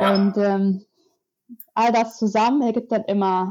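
Her voice sits at a fairly high pitch for a woman. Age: 20s. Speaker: author and climate activist. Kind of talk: interview. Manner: hesitant, many filler sounds.

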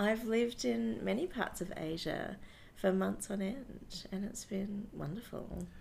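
Speaking fairly slowly in an Australian accent, a woman has a medium pitch with very wide swings and some vocal fry. Room echo can be heard. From Brisbane, Australia. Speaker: theatre sound technician. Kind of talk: interview.

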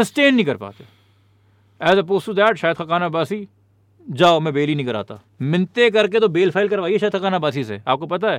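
With lively intonation, a man speaks in a high voice at a moderate pace. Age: 30s. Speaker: politician and activist. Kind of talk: casual chat.

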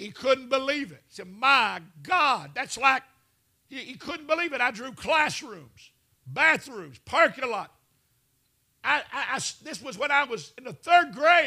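Speaking in a Southern US accent, a man with an extremely high, bright, sharp voice projects loudly, with an animated tone and lively intonation. He moves at a fairly slow pace with long, frequent pauses. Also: big swings in loudness. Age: 60s. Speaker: televangelist preacher. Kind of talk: sermon.

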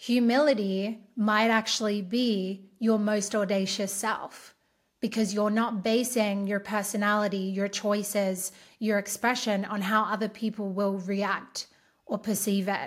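In a very clean recording with a silent background, a woman with an Australian accent and a medium pitch speaks at a fairly slow pace in a monotone, flat intonation. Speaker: podcast host and empowerment coach. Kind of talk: solo podcast monologue.

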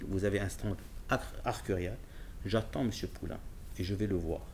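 With vocal fry and ordinary pitch variation, a man talks at a moderate pace broken by long, frequent pauses. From Morocco, Casablanca. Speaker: car dealership director and magazine founder. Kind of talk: casual interview. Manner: halting, with many repetitions.

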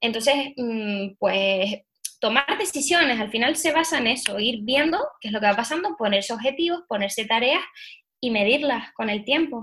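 High in pitch, a woman's voice carries a bright, sharp tone. She speaks at a moderate pace with lively intonation. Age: 20s. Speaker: allergy coach and entrepreneur. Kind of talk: interview. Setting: remote recording.

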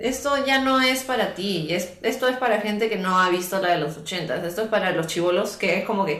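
Speaking at a moderate pace with hardly any pauses, a woman is heard over noticeable background noise and audible room echo. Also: medium pitch for a woman, lively intonation. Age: 30s. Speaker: podcast guest. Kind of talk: casual chat.

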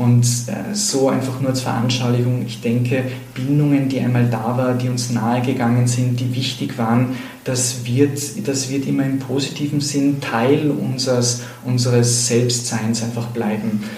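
With fairly even intonation, a medium-pitched man talks at a moderate pace, his voice carrying audible room echo over noticeable background noise. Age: 30s. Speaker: psychotherapist. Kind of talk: interview. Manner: halting.

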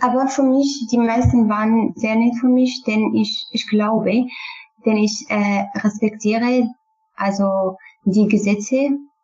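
Speaking very slowly, a woman uses a fairly high pitch and a Kurdish accent. Her intonation stays fairly even. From Syria, Kurdish. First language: Kurdish (speaking German). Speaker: refugee, former student. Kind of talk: interview. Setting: online call. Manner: halting.

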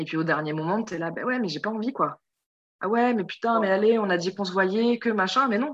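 A woman in a normal speaking voice talks at a fairly quick pace and medium pitch, with ordinary pitch variation. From Europe. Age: 30s. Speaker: podcast guest, listener. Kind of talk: casual chat. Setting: video call. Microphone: Zoom recording, poor sound.

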